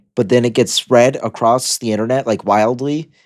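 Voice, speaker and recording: A man talks at a fairly quick pace. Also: very clean recording, silent background. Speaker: video journal vlogger. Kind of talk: casual monologue. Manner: halting, self-correcting.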